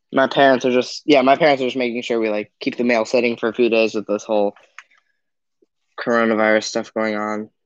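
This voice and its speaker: Against a quiet background, a man talks at a fairly quick pace with fairly even intonation, the sound dry with no echo. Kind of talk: casual livestream chat. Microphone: phone near.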